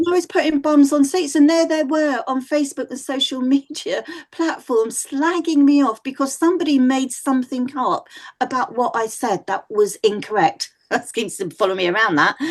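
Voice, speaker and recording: A woman's high voice with a Mancunian accent and lively intonation. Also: moderate pace. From northern England, Manchester. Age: 60s. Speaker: psychic medium. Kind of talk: podcast interview. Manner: animated.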